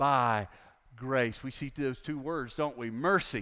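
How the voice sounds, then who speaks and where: A man speaks with a fairly high pitch and an American accent. The background is quiet. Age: 60s. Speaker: pastor. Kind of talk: sermon. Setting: church with congregation. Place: church.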